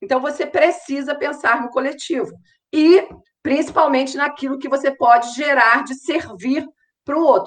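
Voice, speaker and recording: The woman talks at a moderate tempo. Her pitch is high. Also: ordinary pitch variation. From Rio de Janeiro, Brazil. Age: 50s. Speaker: marketing mentor and influencer. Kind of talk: interview.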